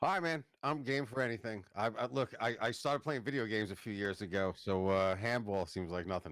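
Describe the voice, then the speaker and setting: A man with a New York accent speaks at a fairly quick pace, with hardly any pauses and lively intonation. His pitch is fairly low, and the recording is very clean with a silent background. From Long Island, New York. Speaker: business founder. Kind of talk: podcast interview.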